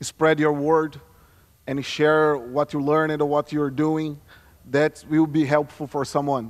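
Speaking with a Brazilian Portuguese accent, a man uses a fairly high pitch. The background stays quiet. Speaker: security consultant; conference presenter. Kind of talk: conference talk. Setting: stage with audience. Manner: halting. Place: stage. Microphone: podium.

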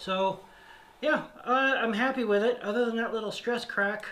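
The voice moves at a slow pace with a fairly bright tone and ordinary pitch variation. Room echo is audible.

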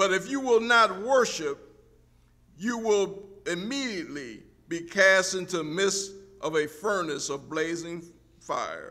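A man projects a raised voice with a bright, sharp tone and lively intonation. He goes at a fairly slow pace with long, frequent pauses against a quiet background. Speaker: preacher. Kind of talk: sermon, reading scripture aloud. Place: church. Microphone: podium.

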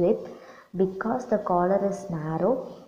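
A woman's pitch moves in an ordinary way while noticeable background noise sits behind her. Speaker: assistant professor of fashion design. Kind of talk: lecture.

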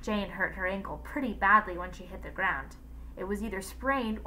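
A passage is being read aloud in a natural voice.

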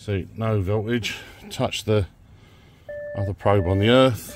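Over light background noise, a man talks with fairly even intonation in a dry sound with no echo. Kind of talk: tutorial. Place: car.

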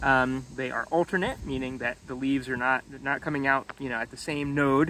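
Light background noise runs under the recording. A man speaks in a dry sound with no echo. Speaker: tree educator. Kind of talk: tutorial. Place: forest. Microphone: phone near.

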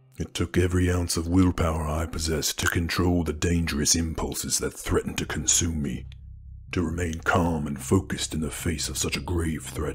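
A man with a very deep, low voice talks at a fairly quick pace in a flat monotone over clear background noise. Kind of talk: romantic ASMR roleplay. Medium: solo performance. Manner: low, calm and measured.

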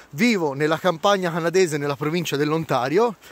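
A man speaks with ordinary pitch variation in a dry recording with no echo. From Florence, Italy; Tuscany, Italy. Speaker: vlogger. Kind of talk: casual vlog monologue. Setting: outdoors by a snowy lake. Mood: jokey, enthusiastic. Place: waterside. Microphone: phone near.

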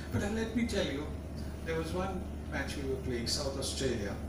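A man speaks in a room with audible echo. Loud background noise runs behind him. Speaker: guest. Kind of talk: after-dinner anecdote speech. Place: hall. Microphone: camera far.

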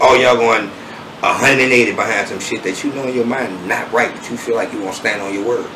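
A man speaks at a very fast pace with lively intonation. Noticeable background noise runs underneath. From New Orleans. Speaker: rapper; interviewee. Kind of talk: interview. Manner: smooth. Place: home room.

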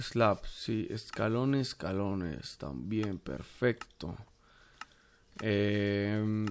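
Here a man with a fairly low pitch talks at a very slow pace, using ordinary pitch variation and long, frequent pauses. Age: 20s. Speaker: gaming YouTuber. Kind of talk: gameplay commentary. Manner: casual, hesitant with fillers.

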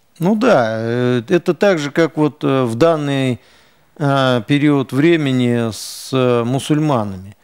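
A man talks at a very slow pace over a quiet background. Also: ordinary pitch variation. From Russian Far East, Khabarovsk; Russian Far East. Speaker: ethnic community leader; guest. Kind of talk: TV interview; interview answer. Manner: hesitant. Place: studio.

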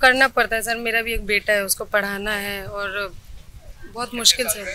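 A woman at a fairly slow pace with fairly even intonation, the sound dry with no echo over light background noise. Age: 20s. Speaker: housewife and part-time cook; interviewee. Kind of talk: interview. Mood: calm, somewhat weary. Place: street. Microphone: handheld.

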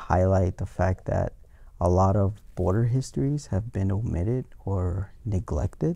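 A man speaks at a fairly slow pace in a dark, mellow, somewhat breathy tone. The background is quiet. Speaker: guest. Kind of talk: interview answer. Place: studio. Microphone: lapel.

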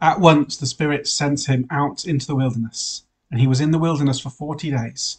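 Somewhat breathy, a man speaks with fairly even intonation at a moderate pace. The background is quiet. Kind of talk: sermon. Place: home room. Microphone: webcam.

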